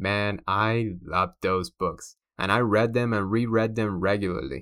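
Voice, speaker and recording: A man with a Cuban accent, fairly low pitch, ordinary pitch variation, and a bright, sharp tone on a very clean recording with a silent background. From Cuba, Havana. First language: Spanish. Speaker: podcast host and comic book publisher. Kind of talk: scripted narration. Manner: animated.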